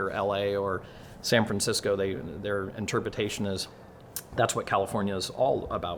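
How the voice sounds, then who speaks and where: A man speaks in a fairly low pitch. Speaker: race track operator. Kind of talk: video update. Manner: fast.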